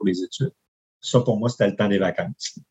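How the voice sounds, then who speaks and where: Somewhat breathy, a man speaks at a fairly quick pace with ordinary pitch variation in a dry, close sound with no echo. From Quebec, Charlevoix (Baie-Saint-Paul). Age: 50s. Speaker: campground owner and engineer. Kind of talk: interview conversation.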